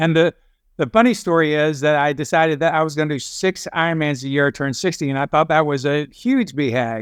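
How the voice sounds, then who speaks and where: With a quiet background, a man with a plain, everyday voice speaks fairly quickly at a fairly high pitch, using ordinary pitch variation. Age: 60s. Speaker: endurance athlete. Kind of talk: podcast interview.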